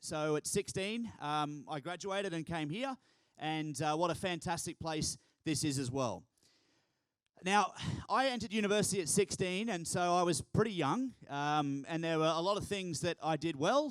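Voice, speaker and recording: Talking in an animated tone with lively intonation, a man with an Australian accent and a high pitch keeps a moderate pace. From Australia, Townsville, north Queensland. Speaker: keynote speaker, youth organisation founder. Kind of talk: keynote speech. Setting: stage with audience.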